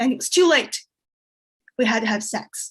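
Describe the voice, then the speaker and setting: A woman with a Chinese accent speaks in a somewhat breathy voice. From China. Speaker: comedian. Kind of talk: stand-up.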